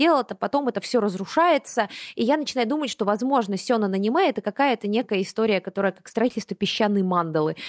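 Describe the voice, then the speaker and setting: A woman with a normal speaking voice talks at a fairly quick pace and a fairly high pitch with ordinary pitch variation, in a very clean recording with a silent background and a dry, close sound with no echo. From Buryatia, Russia. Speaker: anime podcast host. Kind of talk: casual chat.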